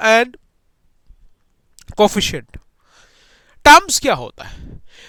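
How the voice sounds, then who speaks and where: A man talks at a fairly slow pace in a raised, projected voice with a bright, sharp tone. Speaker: online maths teacher. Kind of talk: lecture. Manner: animated.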